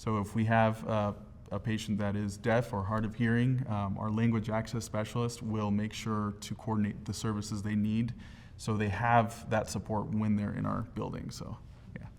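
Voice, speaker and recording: A man speaks with a Spanish accent at a fairly low pitch. His pace is moderate and his intonation monotone and flat. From Central Oregon, US (moved from Mexico via California at six). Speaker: health center communications coordinator. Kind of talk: interview. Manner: hesitant, many fillers.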